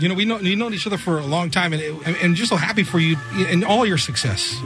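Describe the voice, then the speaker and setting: A high-pitched man at a very fast pace, ordinary pitch variation, music in the background. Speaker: radio show host. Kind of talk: radio host interview. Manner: upbeat, friendly.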